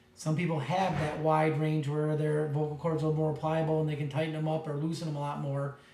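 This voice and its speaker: A man at a moderate pace, his pitch fairly high, with audible room echo. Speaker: teacher. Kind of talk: lecture.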